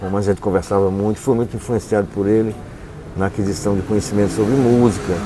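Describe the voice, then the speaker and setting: Against noticeable background noise, a man talks at a fairly quick pace. His voice is fairly low, with fairly even intonation. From Paraíba, Brazil. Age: 60s. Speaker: writer and visual artist. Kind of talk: interview.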